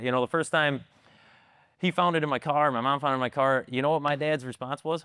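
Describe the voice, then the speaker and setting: Fairly quick speech from a man with an American accent. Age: 40s. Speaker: actor. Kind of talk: podcast interview. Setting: bar. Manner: animated.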